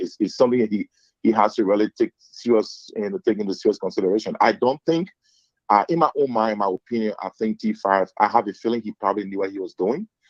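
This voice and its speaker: A man with a Liberian accent, talking at a very fast pace. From Liberia, Lofa County. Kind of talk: casual political discussion.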